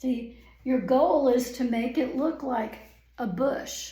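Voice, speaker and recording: At a very slow pace and with ordinary pitch variation, the voice comes through audible room echo and noticeable background noise. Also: woman. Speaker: painting instructor. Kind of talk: tutorial.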